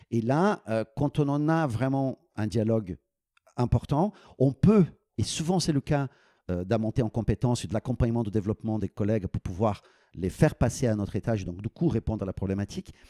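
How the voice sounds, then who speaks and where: Recorded very cleanly over a silent background, with a dry, close sound and no echo, a man with a Brazilian accent talks at a fairly quick pace in a dark, mellow tone with lively intonation. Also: medium pitch for a man. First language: Portuguese (speaking French). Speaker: business school dean. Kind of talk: podcast interview. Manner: halting, many repetitions and fillers.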